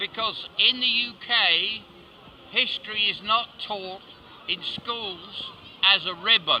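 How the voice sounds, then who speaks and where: Someone with a British accent speaks very slowly with fairly even intonation against noticeable background noise. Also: man. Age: 70s. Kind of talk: interview answer.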